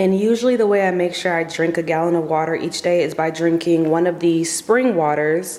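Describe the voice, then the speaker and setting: Quiet and fairly quick with hardly any pauses, a woman with an American accent speaks at a fairly low pitch with ordinary pitch variation amid noticeable background noise. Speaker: lifestyle vlogger and hair coach. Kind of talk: casual vlog. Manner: quiet, low-key.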